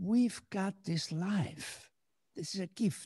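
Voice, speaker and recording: A man with a high pitch and a dark, mellow tone, speaking at a fairly slow pace with ordinary pitch variation in a dry, close sound with no echo. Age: 70s. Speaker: musician and composer. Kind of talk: interview.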